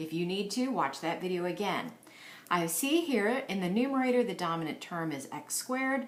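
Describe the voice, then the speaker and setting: With noticeable background noise and audible room echo, a woman speaks at a moderate pace, her pitch swinging very widely. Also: medium pitch for a woman. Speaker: math teacher. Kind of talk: tutorial. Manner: animated.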